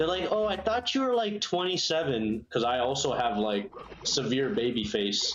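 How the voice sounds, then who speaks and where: With music playing behind him, this man's fairly high voice moves at a fairly slow pace. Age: 30s. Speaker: video game streamer. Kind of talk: casual chat. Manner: animated.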